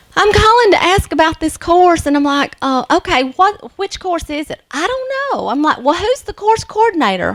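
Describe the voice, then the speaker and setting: Loud and with very wide pitch swings, a woman with a Southern US accent speaks at a moderate pace. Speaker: nursing instructor. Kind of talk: lecture.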